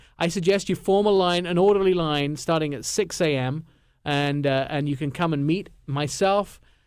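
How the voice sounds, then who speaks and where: A fairly high-pitched man with an English accent and ordinary pitch variation, on a very clean recording with a silent background. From England. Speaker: radio host. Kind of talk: radio show chat.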